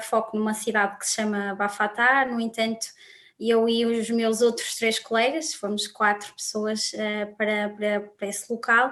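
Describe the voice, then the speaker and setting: With a plain, everyday voice, a woman speaks fairly slowly at a fairly high pitch, her intonation fairly even. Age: 20s. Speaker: student volunteer coordinator. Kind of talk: panel discussion.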